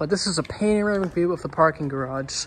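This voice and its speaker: Fairly brisk speech with light noise in the background. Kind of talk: casual vlog chat. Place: garage. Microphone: phone near.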